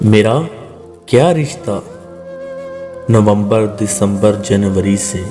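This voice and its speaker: With music playing in the background, a man talks fairly low in pitch, his pitch varying in an ordinary way. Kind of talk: poetry reading.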